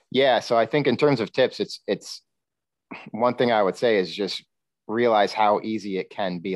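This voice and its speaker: A man speaks with a New York State accent. The sound is dry and close with no echo, over a quiet background. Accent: American (New York State). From upstate New York. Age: 40s. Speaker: nutritional therapy practitioner. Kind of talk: casual interview.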